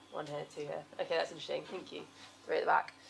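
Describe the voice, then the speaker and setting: A woman speaks with vocal fry. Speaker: environmental consultant. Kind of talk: seminar presentation. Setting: stage with audience. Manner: fast.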